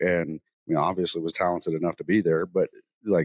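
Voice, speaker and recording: With a Southern US accent, a man talks at a fairly quick pace and with ordinary pitch variation, and the sound is dry and close with no echo. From US South, North Mississippi. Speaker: podcast host, military veteran. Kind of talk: casual chat. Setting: on location, not in studio.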